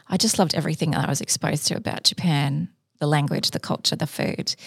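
Woman in an Australian accent, very deep and low in pitch with vocal fry, ordinary pitch variation and a fairly quick pace. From Sydney, Australia. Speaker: entrepreneur. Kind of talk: interview.

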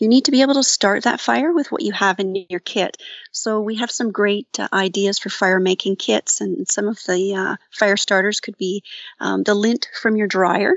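A woman talks in an unremarkable speaking voice with a Canadian accent. Her pitch is medium with ordinary variation, and her pace is moderate. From Ontario, Canada (St. Catharines). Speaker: outdoor safety program coordinator. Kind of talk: interview.

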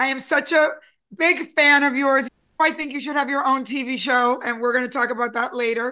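Against a quiet background, a woman projects her raised voice at a high pitch, with a bright, sharp tone, fairly even intonation, and a fairly quick pace. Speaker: podcast interviewer. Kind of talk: interview.

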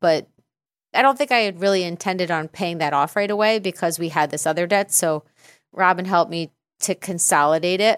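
A woman's medium-pitched voice, an ordinary speaking voice, at a moderate pace, with a dry, close sound with no echo on a very clean recording with a silent background. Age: 50s. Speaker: podcast guest. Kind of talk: casual chat.

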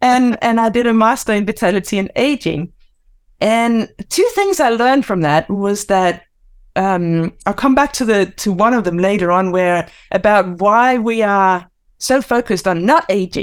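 With a Danish accent, a woman speaks at a moderate pace, her pitch variation ordinary and her loudness very even, on a very clean recording with a silent background. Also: medium pitch for a woman. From Denmark. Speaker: mindfulness teacher and author. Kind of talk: casual interview chat.

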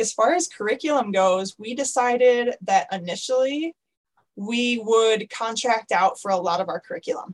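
The clip has an unremarkable speaking voice, moderate in pace, with ordinary pitch variation. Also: woman. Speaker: school co-founder. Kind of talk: interview.

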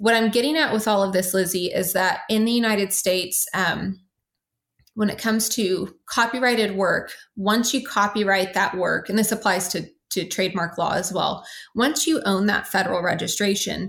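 Using a normal speaking voice, a woman talks at a medium pitch and moderate pace, with ordinary pitch variation and very even loudness. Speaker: legal expert on intellectual property. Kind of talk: interview.

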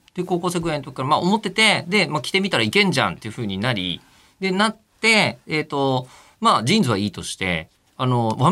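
A man with a bright, sharp tone and vocal fry talks very fast with very wide pitch swings, recorded very cleanly against a silent background. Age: 40s. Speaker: radio host. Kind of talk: casual chat.

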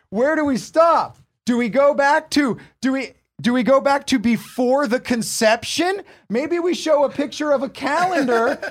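A man with an American accent speaks at an extremely high pitch with lively intonation. The recording is very clean, with a silent background. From southern California. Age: 40s. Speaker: podcast co-host, barber. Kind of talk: casual chat; sponsor read. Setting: studio.

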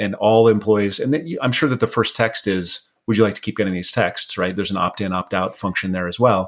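Here is a man with a plain, everyday voice, fairly low in pitch with ordinary pitch variation. He talks at a fairly quick pace with hardly any pauses on a very clean recording with a silent background. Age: 50s. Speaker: podcast host. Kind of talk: scripted intro narration; casual interview chat.

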